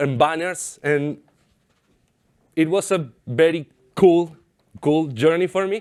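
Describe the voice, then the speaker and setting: A man with an Argentine accent speaks at a high pitch with ordinary pitch variation. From Argentina. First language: Spanish. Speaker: software developer. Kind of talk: conference talk. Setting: stage with audience.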